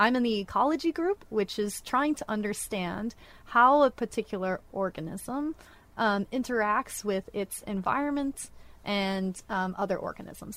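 Speaking at a moderate pace with lively intonation, a woman with an American accent uses an ordinary speaking voice at a fairly high pitch in a very clean recording with a silent background. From northwest Florida, Gulf Coast. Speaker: PhD marine researcher. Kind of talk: casual radio interview. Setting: studio.

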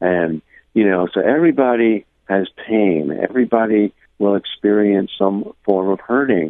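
A man speaks in an ordinary speaking voice, fairly low in pitch, at a moderate pace, with ordinary pitch variation and very even loudness. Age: 60s. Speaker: poet and spiritual teacher. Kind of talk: radio interview. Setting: phone call.

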